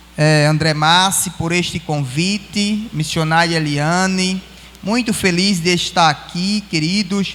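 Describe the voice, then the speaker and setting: A man's high voice, fairly slow with fairly even intonation, against noticeable background noise. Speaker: pastor. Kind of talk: sermon. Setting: church.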